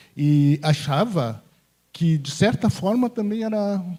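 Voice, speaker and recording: With ordinary pitch variation, the voice carries a dark, mellow tone. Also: man. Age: 60s. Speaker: audience member commenting. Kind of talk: comment from the floor at union event.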